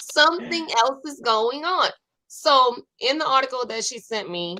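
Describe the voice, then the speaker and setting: With a New Orleans accent and a bright, sharp tone, a woman speaks at a fairly slow pace through very wide pitch swings. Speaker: online talk show host. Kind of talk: casual chat.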